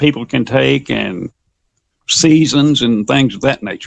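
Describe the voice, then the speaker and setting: A fairly slow man with an American accent and a fairly high pitch. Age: 60s. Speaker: fiction writer. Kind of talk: interview.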